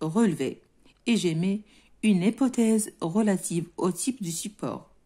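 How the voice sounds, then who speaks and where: Somewhat breathy and dark, mellow in tone, a woman's voice moves through very wide pitch swings. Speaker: French teacher. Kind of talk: lesson explaining a textbook reading. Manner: code-switching between French and Moroccan Arabic.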